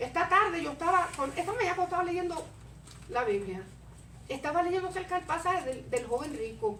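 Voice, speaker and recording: Amid audible room echo, a woman speaks at a fairly quick pace in an animated, bright, sharp tone, with an extremely high pitch and lively intonation. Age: 60s. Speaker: preacher. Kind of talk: sermon.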